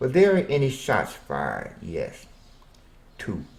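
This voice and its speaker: Fairly slow in pace, this somewhat breathy voice unfolds. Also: man. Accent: American. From Arkansas, US South. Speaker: self-interviewing storyteller. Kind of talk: self-interview monologue.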